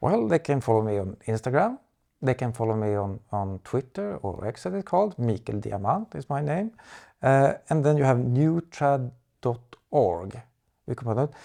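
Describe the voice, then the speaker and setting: Over a quiet background, a man with a Swedish accent speaks at medium pitch and a moderate pace, his tone dark and mellow. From Sweden. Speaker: architecture advocate. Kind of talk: interview. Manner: halting, many fillers and repetitions.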